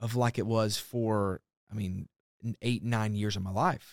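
A man with a Southern US accent speaks at a medium pitch. The recording is very clean with a silent background, and the sound is dry and close with no echo. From Alabama. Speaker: pastor. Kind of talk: casual chat. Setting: studio.

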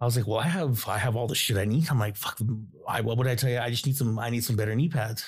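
A man with a medium-pitched, somewhat breathy voice talks at a very fast pace with ordinary pitch variation, on a very clean recording with a silent background. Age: 30s. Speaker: guest, father. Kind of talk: casual chat.

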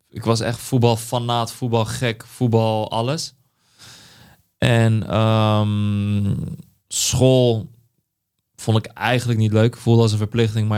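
At a very slow pace, a man speaks in a medium pitch with fairly even intonation and long, frequent pauses. The recording is very clean, with a silent background. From Netherlands, Vlaardingen. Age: 20s. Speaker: creative director. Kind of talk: interview. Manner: halting.

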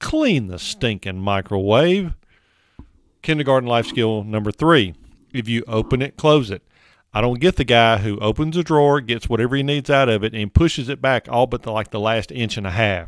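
An animated tone at a moderate pace, with ordinary pitch variation. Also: man, medium pitch for a man. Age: 50s. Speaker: men's lifestyle commentator. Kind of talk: monologue advice segment.

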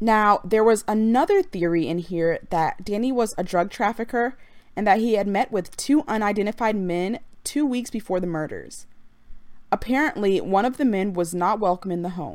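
A woman's normal speaking voice, medium in pitch, at a moderate pace with ordinary pitch variation, on a very clean recording with a silent background. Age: 20s. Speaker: true crime podcaster. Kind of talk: true crime narration. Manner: casual, conversational.

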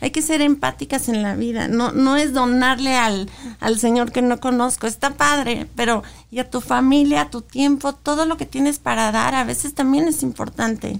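Her voice is high-pitched, and this woman's pitch variation is ordinary. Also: moderate pace. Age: 40s. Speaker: advertising agency director and activist. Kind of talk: interview testimony.

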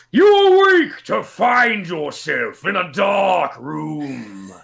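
Using a put-on character voice, a man talks very slowly. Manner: menacing, gravelly voice.

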